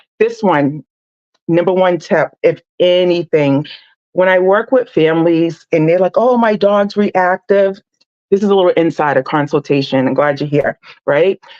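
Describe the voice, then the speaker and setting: An unremarkable speaking voice from a woman, fairly low in pitch, at a moderate pace and very even loudness, with a dry, close sound and no echo. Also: ordinary pitch variation. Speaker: dog trainer. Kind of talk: live stream tutorial. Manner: casual with many fillers.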